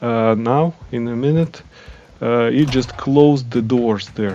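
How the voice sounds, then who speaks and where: A man with a non-native accent speaks at a fairly slow pace, with a medium pitch and fairly even intonation. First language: not English. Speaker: gaming channel creator. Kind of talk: game guide voiceover. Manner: hesitant, many fillers.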